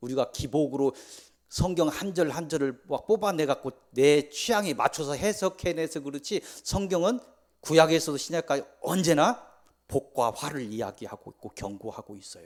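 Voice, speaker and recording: Big swings in loudness mark a man's fairly high-pitched voice, with lively intonation at a moderate pace. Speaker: pastor. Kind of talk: sermon. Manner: speeds up when running late; not eloquent, plain delivery.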